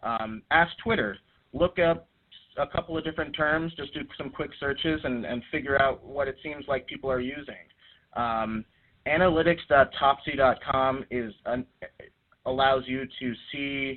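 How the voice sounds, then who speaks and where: With an American accent, a man speaks at a fairly high pitch and varies it in an ordinary way. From US East Coast. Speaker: social media trainer. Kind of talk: webinar training presentation. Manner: fast; many fillers and false starts.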